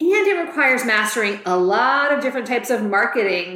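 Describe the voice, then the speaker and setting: Moderate-paced speech from a woman, with noticeable background noise. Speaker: real estate agent and podcast host. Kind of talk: podcast discussion, casual conversation.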